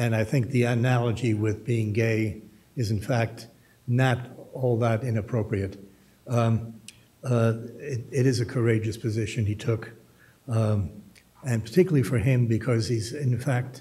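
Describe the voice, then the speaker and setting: A man's medium-pitched voice, somewhat breathy with a dark, mellow tone, fairly even intonation, moderate pace and long, frequent pauses. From Germany, then US. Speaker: journalist and author. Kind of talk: panel discussion talk. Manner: halting, many fillers. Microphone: slight echo in room.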